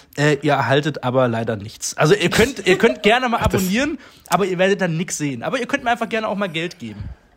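A man's high voice with very wide pitch swings, very fast delivery, and noticeable background noise. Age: 40s. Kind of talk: casual chat.

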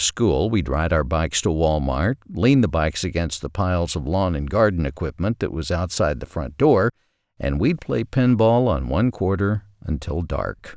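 In a very clean recording with a silent background and a dry, close sound with no echo, a man with an American accent talks at a moderate pace in a very deep, low pitch, his voice showing vocal fry and very wide pitch swings. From US South, southwest Arkansas. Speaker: podcast host, writer. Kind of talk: scripted narration.

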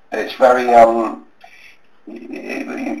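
This man speaks with a British accent. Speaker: magician and psychic reader. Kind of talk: interview. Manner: halting, stuttering.

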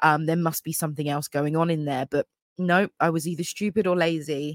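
An English accent on a very clean recording with a silent background. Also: woman, dry, close sound with no echo. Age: 30s. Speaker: podcast host. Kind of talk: casual monologue. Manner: chatty, many fillers.

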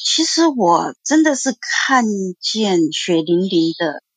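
A woman's voice with very wide pitch swings and a dry, close sound with no echo. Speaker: insurance agent, caller. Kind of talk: call-in testimony.

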